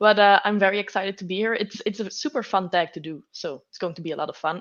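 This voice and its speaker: A woman speaks very fast with a Belgian accent. Her pitch sits in the middle range and varies in an ordinary way. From Belgium. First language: not English. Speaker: booktuber. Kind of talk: casual chat. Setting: live stream.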